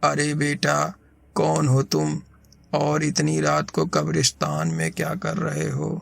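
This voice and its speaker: A put-on character voice is in use here. Its pace runs fairly slow. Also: man. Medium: read story. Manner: grave, serious.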